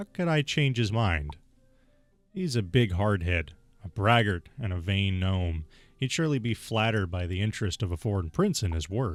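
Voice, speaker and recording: A man speaks in a put-on character voice at a fairly low pitch. His pace is moderate, with faint music in the background. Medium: solo performance.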